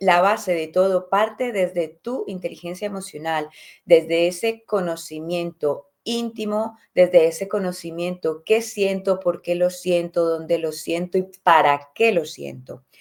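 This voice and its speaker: With a fairly low pitch, a woman talks in an ordinary speaking voice at a fairly slow pace, with fairly even intonation and hardly any pauses. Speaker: podcast host, personal development coach. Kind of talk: motivational talk.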